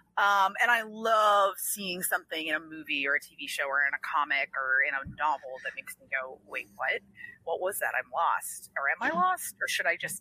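Her American accent comes through as a woman speaks with very wide pitch swings and big swings in loudness, in a dry, close sound with no echo. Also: medium pitch for a woman, moderate pace, hardly any pauses. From Washington D.C. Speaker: comic book writer. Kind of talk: casual interview chat.

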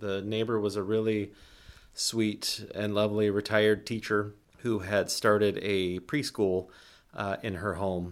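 The recording is very clean, with a silent background. A man speaks at a fairly low pitch and a fairly slow pace. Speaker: podcast host. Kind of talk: personal storytelling. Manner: flat, not lively.

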